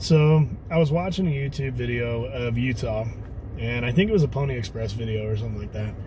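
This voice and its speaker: Over noticeable background noise and audible room echo, a man speaks at a medium pitch and a fairly quick pace with ordinary pitch variation. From Texas. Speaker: off-road vlogger. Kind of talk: casual vlog talk to camera. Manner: hesitant, many fillers.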